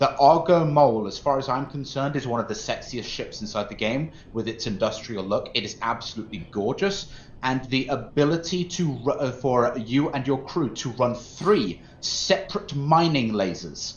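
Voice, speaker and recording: A somewhat breathy man at medium pitch, moderate pace and lively intonation, with hardly any pauses. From English Midlands, Mansfield, Nottinghamshire; later Norfolk. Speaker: gaming streamer. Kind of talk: casual chat.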